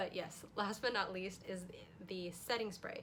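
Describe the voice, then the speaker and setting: Audible room echo surrounds a woman's voice. She speaks at a fairly quick pace with medium pitch. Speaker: beauty youtuber. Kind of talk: makeup tutorial vlog. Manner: fast; animated.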